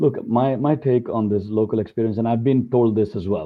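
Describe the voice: Here a man is talking at a fairly quick pace. His intonation stays fairly even.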